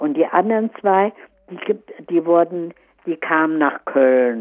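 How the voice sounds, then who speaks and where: A woman speaks at a fairly slow pace. Her voice sits fairly low in pitch. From Farther Pomerania (Stolp district), expelled 1947, then Görlitz. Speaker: war expellee eyewitness. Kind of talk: life-story interview. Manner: halting.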